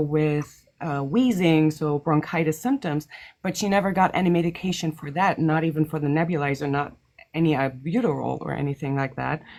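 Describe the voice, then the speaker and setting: On a very clean recording with a silent background, a woman with a non-native accent speaks in a very deep, low pitch with ordinary pitch variation. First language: not English. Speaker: caller. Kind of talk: casual chat. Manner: hesitant.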